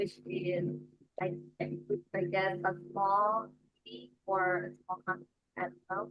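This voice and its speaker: Soft-spoken, a woman talks at a very slow pace with long, frequent pauses and big swings in loudness. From Malaysia. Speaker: English learner. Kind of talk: self-introduction. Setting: video call.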